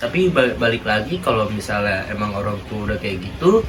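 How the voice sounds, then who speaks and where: A man speaks at a moderate pace with lively intonation and medium pitch, amid noticeable background noise and audible room echo. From Betawi (Jakarta), Indonesia. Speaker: interviewee, university student. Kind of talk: casual interview. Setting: student class assignment interview. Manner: casual, many filler words.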